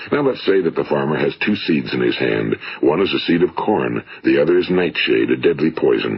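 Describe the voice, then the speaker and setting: In an American accent, a man talks at a moderate pace. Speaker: motivational speaker. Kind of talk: motivational speech recording.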